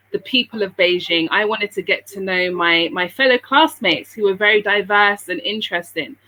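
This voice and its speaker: With a British accent, a woman speaks at medium pitch with ordinary pitch variation. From England, London, Sierra Leonean parents. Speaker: businesswoman living abroad. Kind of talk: interview.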